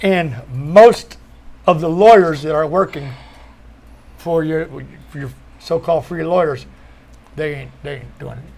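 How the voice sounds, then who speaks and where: A man has a normal speaking voice, fairly high in pitch with ordinary pitch variation. He speaks fairly slowly, with big swings in loudness. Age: 60s. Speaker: former cannabis prisoner. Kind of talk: panel discussion.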